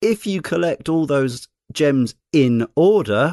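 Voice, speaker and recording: Very wide pitch swings in a British accent. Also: man, dry, close sound with no echo. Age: 40s. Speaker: podcast host. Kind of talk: casual chat.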